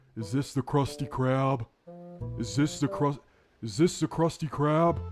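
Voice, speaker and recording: A man puts on a character voice at a medium pitch and a moderate pace. Faint music plays in the background. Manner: dim-witted, cheerful.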